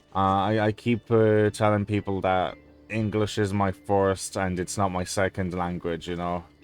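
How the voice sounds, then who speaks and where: Monotone, flat speech in a Polish accent at a moderate pace, with music in the background. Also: man, fairly low pitch for a man. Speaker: gaming YouTuber. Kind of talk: gameplay commentary. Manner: halting, many fillers and repetitions.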